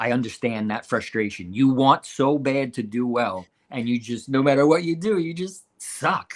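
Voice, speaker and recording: Speaking at a moderate pace with hardly any pauses, a man uses lively intonation at a medium pitch. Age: 50s. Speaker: bowling podcast co-host and pro shop worker. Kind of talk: casual chat. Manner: animated.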